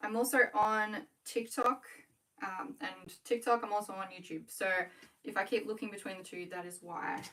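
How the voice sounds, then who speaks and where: With an Australian accent, a woman talks at medium pitch in a bright, sharp tone, with ordinary pitch variation. Her loudness swings widely while her pace stays moderate. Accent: Australian, with a twang. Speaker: small business owner, scrunchie maker. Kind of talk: casual livestream chat. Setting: home livestream, working while talking.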